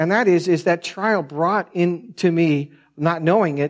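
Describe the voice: Soft-spoken and fairly high-pitched, a man talks with ordinary pitch variation on a very clean recording with a silent background.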